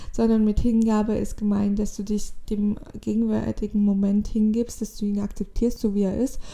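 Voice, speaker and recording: Her voice is fairly high in pitch, with a dark, mellow tone. The woman keeps a moderate pace and a flat, monotone delivery. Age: 20s. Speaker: spiritual podcaster. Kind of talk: solo spiritual monologue. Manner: halting.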